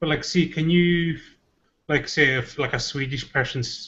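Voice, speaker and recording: In a Scottish Highland accent, a man talks at a moderate pace. His intonation stays fairly even. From Scottish Gaelic-speaking Highlands or Islands, Scotland. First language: Scottish Gaelic. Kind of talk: casual chat.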